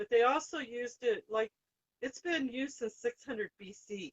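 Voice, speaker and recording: Recorded with a dry, close sound and no echo, a woman speaks at a high pitch. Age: 60s. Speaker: co-host talking about crystals. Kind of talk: casual chat. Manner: halting.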